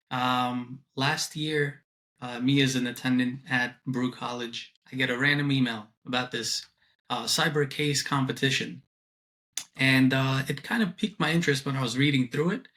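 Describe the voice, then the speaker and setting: With a slight New York accent, a man of medium pitch speaks at a moderate pace with fairly even intonation. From Brooklyn, New York (moved from abroad at ten). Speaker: student and compliance project manager. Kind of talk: interview. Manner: hesitant, many fillers.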